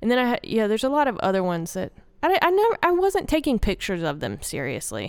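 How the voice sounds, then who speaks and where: A woman with a Southern US accent, on a very clean recording with a silent background. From Arkansas. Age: 30s. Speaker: woodworker and artist. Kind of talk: casual interview chat. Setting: gallery interview in person.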